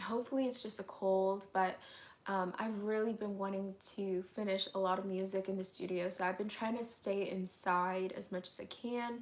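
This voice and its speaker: A woman at medium pitch, monotone and flat in intonation, at a moderate pace. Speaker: youtuber. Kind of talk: live stream Q&A chat. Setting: home, bedroom livestream. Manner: casual, filler-heavy.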